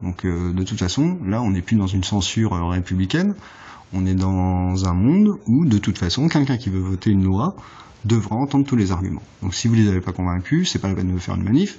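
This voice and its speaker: Moving at a fairly quick pace, a man talks at a fairly low pitch with ordinary pitch variation. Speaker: political vlogger. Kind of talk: political monologue. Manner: fast; halting.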